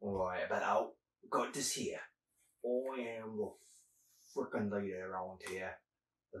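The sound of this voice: Behind the voice the background is quiet. It is an unforced reading voice.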